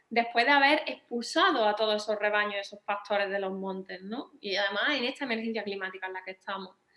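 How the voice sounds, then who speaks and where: In an Andalusian accent, a woman speaks fairly quickly at a fairly high pitch. Her intonation stays fairly even. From Andalusia, Spain. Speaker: veterinarian and writer. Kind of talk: panel discussion. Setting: auditorium with audience. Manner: hesitant, with many repetitions.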